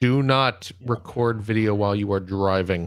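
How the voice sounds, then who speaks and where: The speaker uses a put-on character voice. Delivery moves at a moderate pace with fairly even intonation. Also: man, fairly low pitch for a man. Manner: scolding, authoritative.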